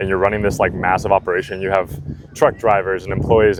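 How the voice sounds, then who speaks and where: Noticeable background noise accompanies a man speaking at a very fast pace. His fairly low voice has ordinary pitch variation. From Puerto Rico, raised in Florida. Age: 20s. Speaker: door-to-door sales manager. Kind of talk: interview. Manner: halting, many fillers.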